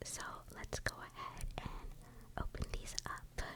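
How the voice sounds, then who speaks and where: A whisper moves fairly slowly against noticeable background noise. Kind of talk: ASMR card unboxing, whispered. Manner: whispered.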